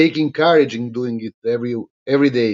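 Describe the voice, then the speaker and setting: The man moves at a fairly quick pace. His pitch varies in an ordinary way. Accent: Albanian. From Albania. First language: Albanian. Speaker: politician. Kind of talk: live stream monologue. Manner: halting, many fillers.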